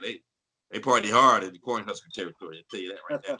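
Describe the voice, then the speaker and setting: With an American accent, a man speaks in a bright, sharp tone with vocal fry. His pitch swings very widely. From US Midwest, St. Louis, Missouri. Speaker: voice actor. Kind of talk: casual interview chat. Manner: animated.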